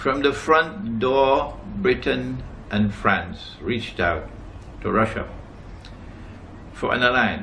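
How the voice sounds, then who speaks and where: A man talks at a very slow pace. There is audible room echo. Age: 70s. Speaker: Islamic scholar. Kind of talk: lecture. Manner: emphatic.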